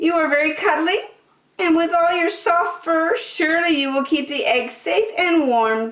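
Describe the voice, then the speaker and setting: A woman puts on a character voice with an extremely high pitch, talking at a moderate pace. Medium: read story.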